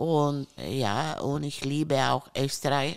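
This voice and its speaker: A woman with an Italian accent speaks in a very deep, low pitch. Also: very clean recording, silent background. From Italy, Friuli. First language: Italian (speaking German). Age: 60s. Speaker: countess. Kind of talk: casual chat. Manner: halting.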